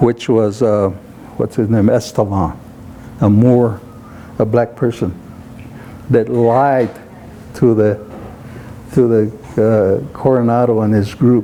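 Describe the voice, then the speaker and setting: With noticeable background noise behind him, a man of medium pitch speaks with fairly even intonation and long, frequent pauses. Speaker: Zuni elder, civil engineer, veteran. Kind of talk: interview answer. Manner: conversational, hesitant with fillers.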